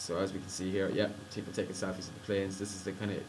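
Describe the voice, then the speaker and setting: A man's fairly low voice in an Irish accent, monotone and flat, at a very fast pace with audible room echo. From Ireland. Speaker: college student. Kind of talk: screencast tutorial. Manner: casual.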